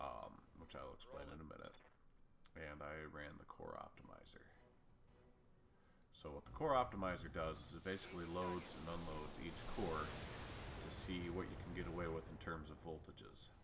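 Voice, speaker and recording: With audible room echo, the speaker moves at a moderate pace with ordinary pitch variation and long, frequent pauses. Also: man, very deep, low pitch for a man. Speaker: gaming YouTuber. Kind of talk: gameplay commentary. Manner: casual, rambling with fillers.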